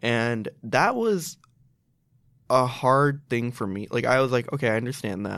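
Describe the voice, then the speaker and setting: A man speaks at a fairly slow pace with a medium pitch and ordinary pitch variation, on a very clean recording with a silent background. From Chicago, US (Pakistani family). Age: 20s. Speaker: graduate student in teaching, lifestyle blogger. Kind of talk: casual interview chat.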